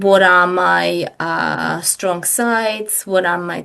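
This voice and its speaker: A woman talks at a medium pitch. Behind her, the background stays quiet. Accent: Czech. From Czech Republic, Prague. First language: Czech. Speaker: business coach. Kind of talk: podcast interview. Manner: hesitant, with many fillers.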